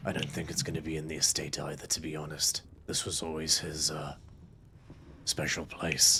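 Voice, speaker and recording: Against clear background noise, a man puts on a character voice pitched very deep and low, speaking at a moderate pace. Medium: actual play. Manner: polite, mild.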